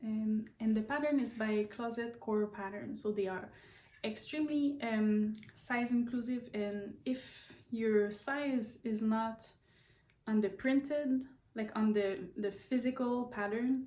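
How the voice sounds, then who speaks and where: At a very slow pace, a woman with a Quebec accent speaks at a fairly high pitch, her dark, mellow tone somewhat breathy and her intonation fairly even. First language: French. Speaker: knitting and sewing vlogger. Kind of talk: casual vlog talk. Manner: halting, many fillers and repeats.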